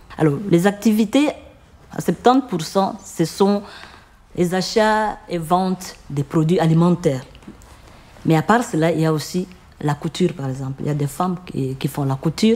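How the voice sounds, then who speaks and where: Long, frequent pauses break up speech at a moderate pace. The tone is dark and mellow, with lively intonation. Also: woman, fairly low pitch for a woman. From Congo (Ituri region). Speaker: microcredit association founder. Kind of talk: interview answer.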